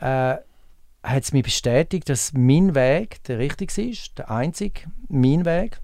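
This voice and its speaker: A man's medium-pitched voice, dark and mellow in tone, with lively intonation, on a very clean recording against a silent background. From Switzerland, Appenzell Ausserrhoden. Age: 50s. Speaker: pool attendant. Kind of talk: interview.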